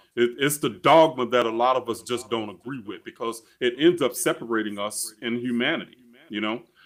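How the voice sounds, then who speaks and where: A man talks in a normal speaking voice at a fairly quick pace, medium in pitch with ordinary pitch variation. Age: 60s. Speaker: spiritual coach. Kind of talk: interview.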